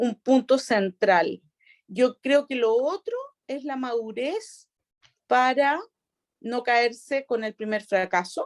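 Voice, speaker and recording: A woman with a Chilean accent, a high pitch, a very slow pace and long, frequent pauses, in dry, close sound with no echo. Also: ordinary pitch variation. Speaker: regional prosecutor. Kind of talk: interview answer.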